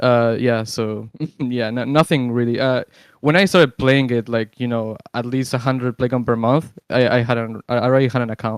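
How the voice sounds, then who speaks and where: In a very clean recording with a silent background, the speaker uses a Spanish accent, fairly even intonation, and a moderate pace. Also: man, medium pitch for a man, dry, close sound with no echo. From Uruguay. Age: 20s. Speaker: gamer. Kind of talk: interview. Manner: halting, many fillers.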